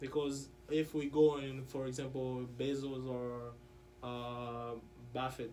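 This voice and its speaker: Amid noticeable background noise and audible room echo, a man speaks very slowly at a medium pitch in a monotone, flat way. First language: French. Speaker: interview guest, student. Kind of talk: casual interview.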